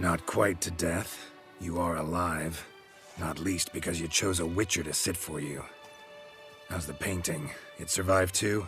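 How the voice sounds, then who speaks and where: Against clear music in the background, a man uses a put-on character voice at a very deep, low pitch and a moderate pace. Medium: machinima. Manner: dry, deadpan.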